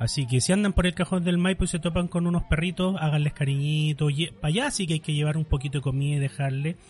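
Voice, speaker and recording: A man with a Chilean accent talks at a very fast pace and fairly high pitch, with fairly even intonation and hardly any pauses. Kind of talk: casual chat.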